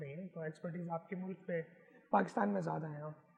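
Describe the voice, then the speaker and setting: Here a man speaks at a moderate pace, his intonation fairly even. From Pakistan, Karachi. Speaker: photographer. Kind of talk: interview.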